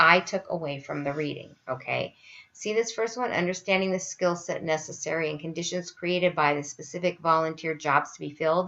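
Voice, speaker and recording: At a fairly low pitch and moderate pace, a woman talks in an unremarkable speaking voice. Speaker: university instructor. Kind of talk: online lecture tutorial.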